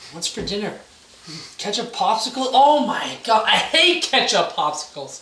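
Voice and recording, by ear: In a put-on character voice, a man speaks high and at a fairly slow pace, with a bright, sharp tone, big pitch swings and strong room echo.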